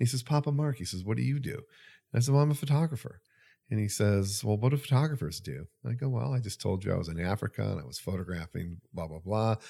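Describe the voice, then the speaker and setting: On a very clean recording with a silent background, a man speaks at a very fast pace with a fairly low pitch, very wide pitch swings, and a dark, mellow, somewhat breathy tone. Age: 60s. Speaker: camera retailer staff, veteran photographer. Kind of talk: casual chat.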